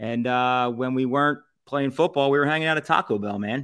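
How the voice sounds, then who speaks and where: In a Philadelphia accent, a man with a bright, sharp tone and fairly high pitch speaks at a fairly quick pace. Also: very clean recording, silent background. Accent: Philadelphia area. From Southampton, Pennsylvania. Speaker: food reviewer and podcast founder. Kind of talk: casual chat.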